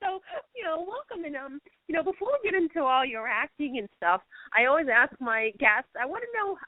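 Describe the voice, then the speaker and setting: A woman with a Boston accent speaks at a fairly quick pace, her pitch swinging very widely. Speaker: radio show host. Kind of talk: interview. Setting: radio show with guest on phone line.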